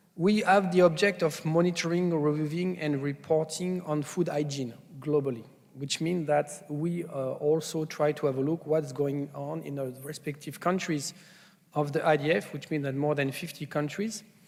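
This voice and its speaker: Moderately paced, this man's speech sits fairly high in pitch. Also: fairly even intonation. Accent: French. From France. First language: French. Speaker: food safety scientist, conference speaker. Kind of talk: conference presentation. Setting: conference stage with audience. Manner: hesitant, many fillers.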